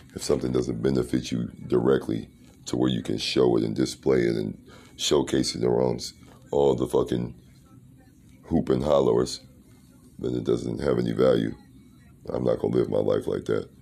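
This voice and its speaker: Flat, monotone intonation with vocal fry, a dark, mellow tone, and long, frequent pauses. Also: man, very deep, low pitch for a man, moderate pace. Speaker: podcast host. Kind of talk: solo monologue podcast episode.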